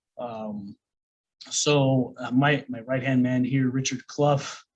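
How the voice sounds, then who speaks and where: A man talks at a medium pitch with an American accent. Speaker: online business coach. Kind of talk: course lecture. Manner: casual, many fillers.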